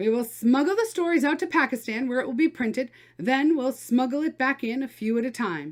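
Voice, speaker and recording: A woman's put-on character voice, high-pitched with lively intonation at a fairly quick pace, on a very clean recording with a silent background. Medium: read story.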